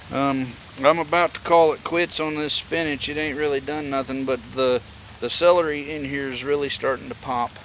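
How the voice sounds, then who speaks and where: A man with a Southern US accent speaks at a moderate pace in a fairly high pitch, his intonation fairly even, with noticeable background noise. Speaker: homesteading vlogger. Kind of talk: casual garden tour vlog. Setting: outdoors.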